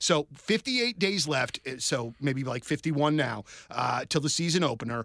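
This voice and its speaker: A normal speaking voice from a man, fairly high in pitch. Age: 40s. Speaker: sports radio podcast host. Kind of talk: casual chat.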